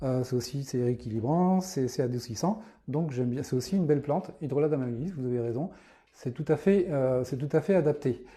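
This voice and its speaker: Speaking at a fairly quick pace, this voice has a dark, mellow tone, a somewhat breathy quality and ordinary pitch variation. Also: man, fairly high pitch for a man. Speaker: naturopath. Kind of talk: live stream talk answering viewer questions. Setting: live video stream. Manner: fast; halting with many fillers.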